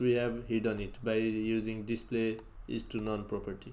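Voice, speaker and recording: A man with a non-native accent is heard with audible room echo. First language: not English. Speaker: programming tutorial youtuber. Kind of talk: coding tutorial. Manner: halting.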